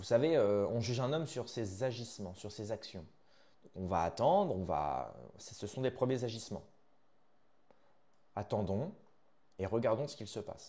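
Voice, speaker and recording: With a dark, mellow tone and medium pitch, a man speaks at a moderate pace, somewhat breathy, with lively intonation and long, frequent pauses. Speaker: news commentary YouTuber. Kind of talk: video commentary monologue. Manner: hesitant, many fillers.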